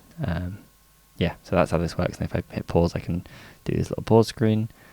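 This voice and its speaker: This man has a very deep, low voice. His pitch variation is ordinary. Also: dry sound with no echo. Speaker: indie game developer. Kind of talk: dev log vlog. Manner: casual, hesitant with many fillers. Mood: upbeat, smiling. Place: home room. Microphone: studio mic.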